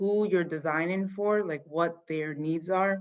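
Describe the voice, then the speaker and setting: A woman's very slow speech with a Yoruba accent and fairly even intonation. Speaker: fashion company founder. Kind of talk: interview answering children's questions. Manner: casual, many fillers.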